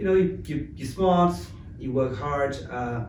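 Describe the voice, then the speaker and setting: Lively intonation from a man at a moderate pace, noticeable background noise and audible room echo around him. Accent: French. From France, Paris. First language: French. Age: 30s. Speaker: tech company founder. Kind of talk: interview.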